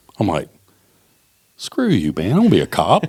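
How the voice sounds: At a moderate pace, a man speaks in a fairly low pitch with a slightly husky edge, a slightly mellow tone and very wide pitch swings.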